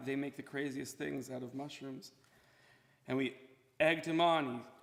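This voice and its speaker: With an American accent, a man speaks at a medium pitch with fairly even intonation. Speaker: son giving eulogy. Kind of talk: eulogy. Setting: memorial service at podium.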